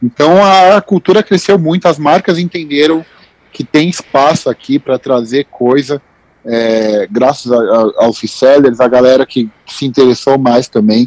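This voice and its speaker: With a plain, everyday voice and a fairly high pitch, a man talks at a fairly slow pace with lively intonation in a dry, close sound with no echo. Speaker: sneaker news writer. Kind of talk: casual chat.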